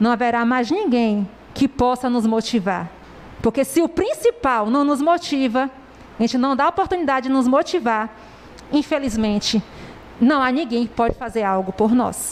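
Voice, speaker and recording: Amid noticeable background noise, a woman with a high pitch speaks with ordinary pitch variation, very even loudness, and long, frequent pauses. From southern Bahia, Brazil. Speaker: preacher. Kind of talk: sermon.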